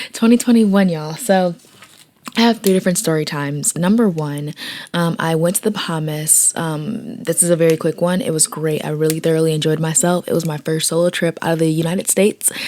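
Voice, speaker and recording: The speech has ordinary pitch variation. Noticeable background noise runs underneath. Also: woman, fairly low pitch for a woman. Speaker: vlogger; small business owner. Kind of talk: casual talk to camera. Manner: casual, chatty.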